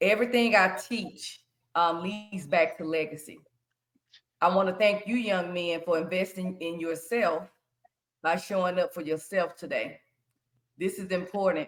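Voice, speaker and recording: A woman with an American accent speaks at a moderate pace and medium pitch. Her intonation is fairly even, with long, frequent pauses. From US South, Shreveport, Louisiana. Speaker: financial educator and credit consultant. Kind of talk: workshop presentation to young people.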